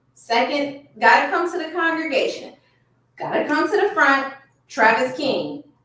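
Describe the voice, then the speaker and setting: An animated woman's voice with audible room echo. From US South, Miami, Florida. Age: 40s. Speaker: lawyer and online show host. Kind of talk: casual commentary livestream.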